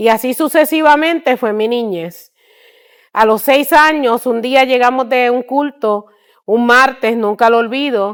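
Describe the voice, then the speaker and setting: A woman talks at a fairly slow pace in a high pitch, with ordinary pitch variation. The recording is very clean, and the background is silent. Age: 60s. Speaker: missionary. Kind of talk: testimony.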